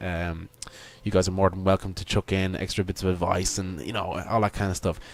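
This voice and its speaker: Talking at a fairly quick pace, a man uses a very deep, low pitch. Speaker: gaming YouTuber. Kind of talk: gameplay commentary. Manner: halting, many fillers and repetitions; enthusiastic.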